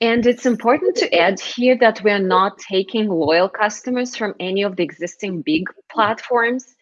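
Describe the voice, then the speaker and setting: With a Russian accent, a woman talks at a moderate pace, her fairly high pitch showing ordinary variation. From Moscow, Russia. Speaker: startup founder. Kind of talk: interview.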